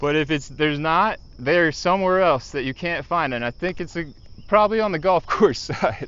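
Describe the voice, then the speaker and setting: With a plain, everyday voice, a man talks at a moderate pace, his pitch fairly high and its variation ordinary. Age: 40s. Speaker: fishing streamer. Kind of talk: casual chat.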